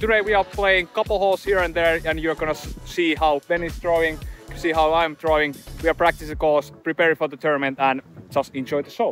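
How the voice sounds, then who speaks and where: Faint music plays behind a man speaking at a fairly quick pace. The sound is dry with no echo. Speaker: vlogger. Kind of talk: casual vlog chat. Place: open country. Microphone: phone near.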